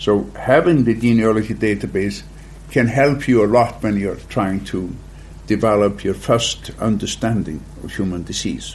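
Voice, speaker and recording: In an Icelandic accent, a man speaks at a moderate pace with a fairly low pitch and ordinary pitch variation. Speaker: genetics company founder. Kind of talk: interview.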